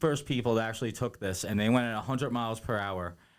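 With a plain, everyday voice, a man of medium pitch speaks at a fairly quick pace and ordinary pitch variation on a very clean recording with a silent background. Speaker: podcast co-host. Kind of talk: casual chat.

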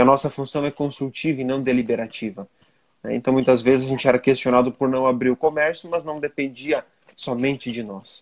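An ordinary speaking voice from a man at medium pitch, fairly quick pace and fairly even intonation, with a dry, close sound and no echo. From Santa Catarina, Brazil (western region). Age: 30s. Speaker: business association president and entrepreneur. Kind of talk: interview conversation.

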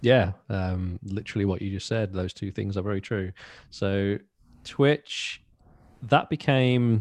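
Someone speaks with a Birmingham accent at a fairly slow pace. The sound is dry and close, with no echo. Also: man, fairly low pitch for a man, ordinary pitch variation, quiet background. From Birmingham, England. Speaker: metal band drummer. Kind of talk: casual interview.

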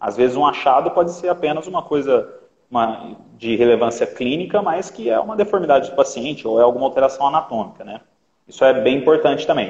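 The speech rushes along at a very fast pace with lively intonation. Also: man, fairly high pitch for a man. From Minas Gerais, Brazil. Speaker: orthopedics resident and live stream host. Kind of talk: interview on a live stream.

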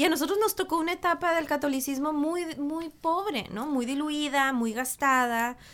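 A woman with a high pitch speaks at a moderate pace with ordinary pitch variation and hardly any pauses. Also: very clean recording, silent background. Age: 40s. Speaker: meditation teacher. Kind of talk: casual chat.

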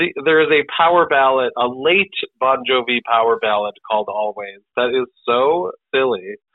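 Lively intonation from a man at medium pitch. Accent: American. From US Midwest, Great Lakes. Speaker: improv comedian and actor. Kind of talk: casual interview.

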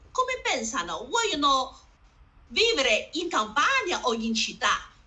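A woman's high-pitched voice with a Chinese accent, very wide pitch swings and a very slow pace. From northern China, Harbin. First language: Chinese (speaking Italian). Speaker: community association founder. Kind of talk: panel discussion. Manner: halting, broken Italian.

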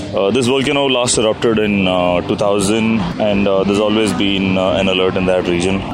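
A man talks with a South Indian accent, his loudness very even and hardly any pauses. Music plays in the background, and there is audible room echo. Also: fairly low pitch for a man, ordinary pitch variation, moderate pace. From India, Coimbatore. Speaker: motorcycle traveler. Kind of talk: travel diary.

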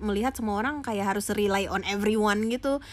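A woman with a fairly high voice and ordinary pitch variation speaks on a very clean recording with a silent background. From Aceh, Sumatra, Indonesia. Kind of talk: casual chat.

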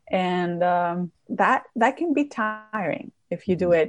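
The speaker has a Greek accent. The intonation is lively. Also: woman. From Greece, Crete. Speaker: documentary filmmaker and wine content creator. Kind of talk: interview.

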